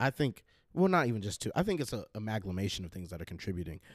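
Very wide swings mark the pitch. Nothing is heard behind the voice on this very clean recording. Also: man. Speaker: podcast guest. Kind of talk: casual conversation.

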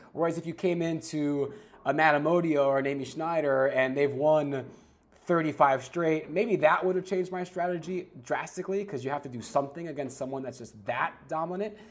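A man with a New York accent talks at a fairly quick pace. His pitch is fairly high, with ordinary variation. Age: 30s. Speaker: sportscaster. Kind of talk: casual chat.

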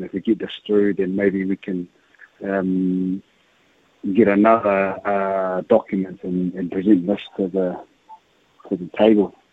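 Music plays in the background as a man with a New Zealand accent speaks fairly slowly at a fairly low pitch, in a monotone, flat delivery. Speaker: cricket coach. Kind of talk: radio interview.

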